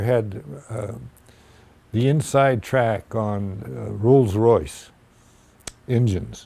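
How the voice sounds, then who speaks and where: A man with a Canadian accent speaks at a very slow pace. His medium pitch shows ordinary variation. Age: 80s+. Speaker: war veteran. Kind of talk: oral history interview answer.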